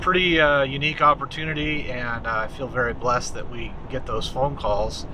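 Noticeable background noise sits behind the voice. The man speaks at a moderate pace. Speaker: vlogger. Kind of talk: casual vlog chat. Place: car. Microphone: phone near.

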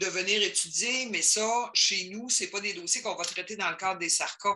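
There is noticeable background noise. The speech moves at a moderate pace. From Quebec. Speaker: adult education counselor. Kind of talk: work meeting discussion. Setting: video call.

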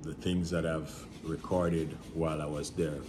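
Against noticeable background noise, a man speaks with a very deep, low pitch. His pace is moderate and his intonation fairly even. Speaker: travel agent vlogger. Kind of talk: casual vlog chat. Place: home room. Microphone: phone near.

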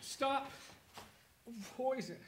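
A man speaks very slowly in a put-on character voice, pitched extremely high, with lively intonation.

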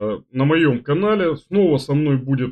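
The recording has a quiet background. In it, a man talks very slowly. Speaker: chess commentator, stream host. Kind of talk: casual announcement to viewers. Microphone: webcam.

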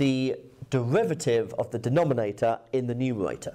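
A man talks. Behind him, the background stays quiet. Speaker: maths teacher. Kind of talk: lecture. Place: classroom.

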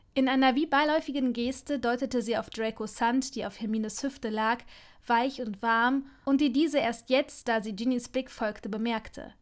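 On a very clean recording with a silent background, a woman talks at a moderate pace in a high pitch with fairly even intonation. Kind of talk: audiobook dramatic narration of a romance fanfiction.

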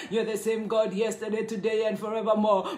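A high-pitched man's voice with a warm, animated tone and audible room echo. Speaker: prayer leader. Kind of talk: fervent intercessory prayer, live online. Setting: live online prayer session, away from home. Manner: fervent, repetitive, praise-filled, pleading; warm, animated greeter. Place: home room. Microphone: phone near.

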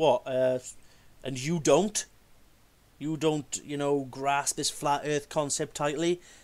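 Speaking very slowly with long, frequent pauses, a man with a Welsh accent keeps a fairly even intonation in a very clean recording with a silent background. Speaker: video creator rebutting flat earth claims. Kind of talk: casual video rant and rebuttal.

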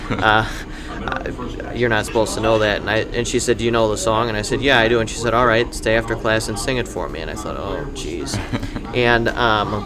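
Noticeable background noise sits under the recording. A man talks at a fairly quick pace. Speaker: podcast guest. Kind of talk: interview answer. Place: cafe. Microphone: studio mic.

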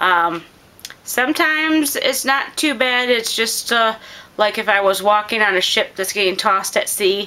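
Lively intonation from a woman with a fairly high pitch, at a moderate pace. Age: 40s. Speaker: homestead gardening vlogger. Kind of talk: casual chat; tutorial. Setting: living room. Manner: hesitant, many filler words. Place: home room. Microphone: phone near.

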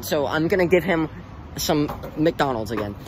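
The sound is dry with no echo, though background noise is noticeable. A man is speaking. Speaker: vlogger. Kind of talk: casual vlog chat. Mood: joking, playful. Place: street. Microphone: phone near.

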